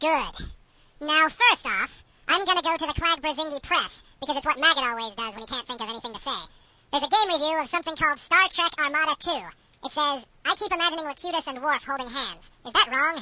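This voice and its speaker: The speaker uses a put-on character voice with a whiny tone. It is high-pitched and delivered at a very fast pace. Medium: audio drama. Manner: whiny, excitable.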